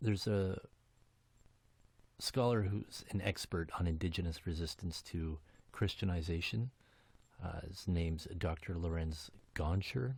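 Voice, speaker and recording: A soft-spoken man with a very deep, low pitch, somewhat breathy, at a fairly slow pace with long, frequent pauses and ordinary pitch variation. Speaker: podcast host. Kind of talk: casual podcast monologue. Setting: home basement. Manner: hesitant, many fillers.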